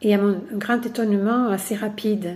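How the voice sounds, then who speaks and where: Her pitch is fairly high, her tone dark and mellow. The woman speaks at a very slow pace. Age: 70s. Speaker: workshop participant. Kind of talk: testimony. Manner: hesitant, with frequent fillers.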